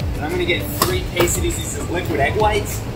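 The voice moves at a fairly quick pace with clear music in the background. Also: man. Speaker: fitness coach. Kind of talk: casual vlog chat. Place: shop. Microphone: phone near.

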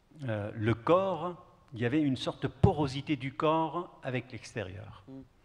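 A man's fairly high voice with lively intonation at a very slow pace. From Kurdish southeast Turkey. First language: Kurdish (speaking French). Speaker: poet. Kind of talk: panel discussion answer. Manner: halting. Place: stage. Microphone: handheld.

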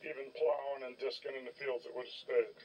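At a moderate pace, a man speaks. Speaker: hobbyist tractor restorer. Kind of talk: casual repair walkthrough. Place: open country. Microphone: phone near.

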